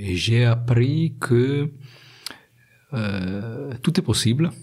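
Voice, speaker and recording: A man with an Italian accent speaks at a very slow pace. His voice is somewhat breathy. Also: medium pitch for a man, ordinary pitch variation. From Italy. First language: Italian (speaking French). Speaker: industrial research engineer. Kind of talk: interview. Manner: halting, many hesitations.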